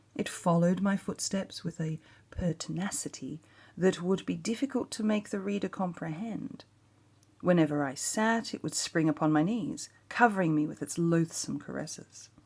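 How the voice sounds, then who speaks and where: A woman with an Australian accent speaks at a moderate pace and a fairly low pitch, somewhat breathy, with lively intonation. The recording is very clean, its background silent. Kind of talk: ASMR story reading.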